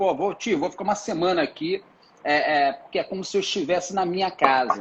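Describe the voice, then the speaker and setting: With a slight Carioca accent, a man speaks at a high pitch with ordinary pitch variation over a quiet background. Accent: mild carioca. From Brazil, Rio de Janeiro. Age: 40s. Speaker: tourism entrepreneur. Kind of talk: interview. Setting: live video stream. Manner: hesitant with many fillers.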